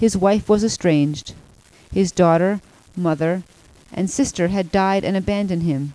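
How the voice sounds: Pitch shifts in an ordinary way. The delivery is a natural reading voice.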